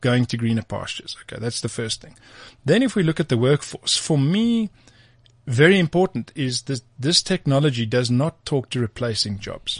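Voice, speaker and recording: Somewhat breathy, a man speaks at a fairly quick pace with lively intonation, in a dry, close sound with no echo and a quiet background. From South Africa, Free State (Bloemfontein). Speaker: tech company co-founder. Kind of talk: interview.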